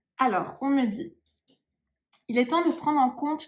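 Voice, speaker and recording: With ordinary pitch variation, this woman talks at a fairly slow pace. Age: 30s. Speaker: psychic medium. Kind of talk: channeling session. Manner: hesitant, many fillers.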